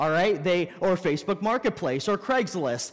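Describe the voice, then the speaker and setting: The background stays quiet. A man talks with lively intonation. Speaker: pastor. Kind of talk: sermon. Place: church.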